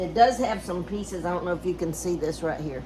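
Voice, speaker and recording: A woman with a Southern US accent and a fairly low pitch, moderate pace and ordinary pitch variation, with noticeable background noise and audible room echo. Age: old. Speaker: DIY homestead vlogger. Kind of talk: casual DIY vlog. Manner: casual, halting.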